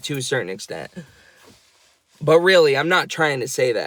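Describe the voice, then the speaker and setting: A man talks in an animated tone. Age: 20s. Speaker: vlogger, housekeeper. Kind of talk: casual rant vlog.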